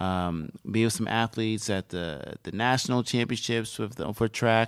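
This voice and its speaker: An unremarkable speaking voice from a man, medium-pitched with ordinary pitch variation, at a moderate pace on a very clean recording with a silent background. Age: 30s. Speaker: fitness center director. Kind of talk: casual interview. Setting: studio.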